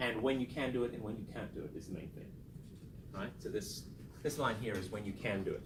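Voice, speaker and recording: A man talks at a very fast pace with long, frequent pauses, his medium pitch varying in an ordinary way. Noticeable background noise and audible room echo fill the recording. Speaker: statistics lecturer. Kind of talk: lecture.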